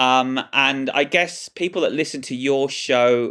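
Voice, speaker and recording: The speaker talks with an English accent over a quiet background. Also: man. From England. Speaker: film journalist. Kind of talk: casual chat.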